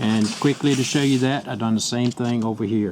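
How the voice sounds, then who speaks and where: Background noise is noticeable behind a man speaking. His pitch shows ordinary variation. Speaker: auto repair youtuber. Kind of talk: tutorial. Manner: fast.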